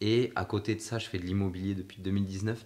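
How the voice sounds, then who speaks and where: A man's fairly low-pitched voice with fairly even intonation, an ordinary speaking voice. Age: 20s. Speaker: podcast host and personal development coach. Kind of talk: casual interview chat.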